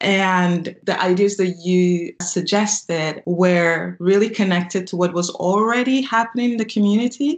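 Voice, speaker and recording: A woman with a normal speaking voice at medium pitch and a fairly slow pace, with ordinary pitch variation and hardly any pauses. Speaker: podcast host. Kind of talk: interview.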